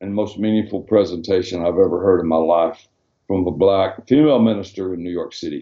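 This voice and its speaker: In a Southern US accent, a man speaks with a dark, mellow tone. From Arkansas, US South (Hot Springs). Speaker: former pastor and missionary. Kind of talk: interview. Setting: video call.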